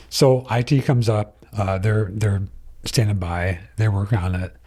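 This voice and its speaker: His voice is fairly low in pitch, dark and mellow in tone, somewhat breathy, and the man keeps his intonation fairly even. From Michigan, Flint. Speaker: retired police officer. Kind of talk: testimony. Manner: halting.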